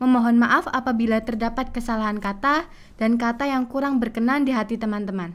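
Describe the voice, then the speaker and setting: Pitch varies in an ordinary way as the talking moves along fairly quickly. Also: woman. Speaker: student MC. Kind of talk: formal event hosting. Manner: formal. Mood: polite, calm, formal. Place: studio. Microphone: studio mic.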